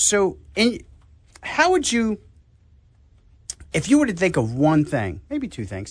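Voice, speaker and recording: A man with an American accent speaks at a very slow pace, leaving long, frequent pauses. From New York. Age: 60s. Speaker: health talk show host. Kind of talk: casual radio chat.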